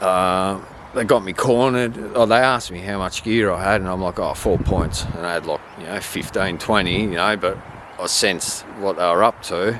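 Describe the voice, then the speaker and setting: Moderate pace, fairly even intonation and an Australian accent, with noticeable background noise. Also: man. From Australia, Victoria. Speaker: vlogger telling life story. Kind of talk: personal testimony. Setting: outdoors at old high school. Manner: casual, filler-heavy.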